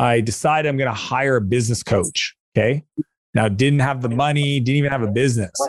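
A man's plain, everyday voice at medium pitch, fairly quick, with very even loudness and ordinary pitch variation. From Canada. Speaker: entrepreneur and author. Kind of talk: interview conversation.

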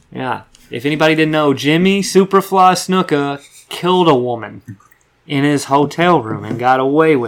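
A man speaks at a moderate pace in an ordinary speaking voice. His pitch is fairly high, with ordinary pitch variation. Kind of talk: casual chat. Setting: studio.

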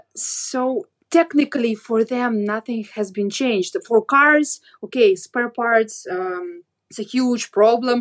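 Very slowly and with a Russian accent, a woman with a fairly high pitch and ordinary pitch variation speaks in a dry, close sound with no echo. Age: 30s. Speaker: blogger. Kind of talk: interview.

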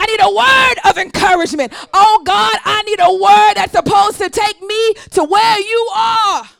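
Over noticeable background noise, the speaker talks at a moderate pace in an animated tone. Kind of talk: sermon, preacher in full flow with call-and-response. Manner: animated, rhythmic and emphatic, repeating phrases and calling for audience response; teacherly, building to a rising, exhorting cadence.

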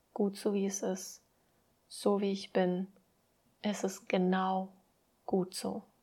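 A woman's gentle, calm voice, somewhat breathy, at medium pitch, very slow and monotone with flat intonation. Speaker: podcast host and mindset coach. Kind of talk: pep talk with affirmations read aloud, guided meditation style. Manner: calm, warm, soothing; slow, gentle, reassuring, encouraging.

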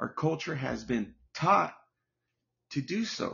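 A man's animated, fairly high-pitched voice. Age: 40s. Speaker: podcast host. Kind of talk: solo monologue, opinion rant. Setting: home. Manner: repetitive, halting.

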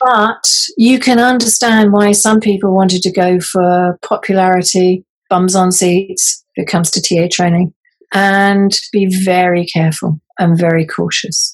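A woman of medium pitch speaks with a British accent. Her intonation is fairly even and her loudness very even. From grew up in many countries (third culture kid). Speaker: counselling trainer. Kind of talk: interview.

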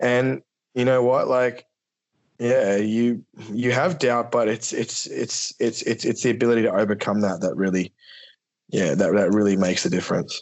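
A man speaks in a normal speaking voice at a medium pitch with ordinary pitch variation. His loudness stays very even, and his pace is moderate. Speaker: business founder. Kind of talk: casual interview chat.

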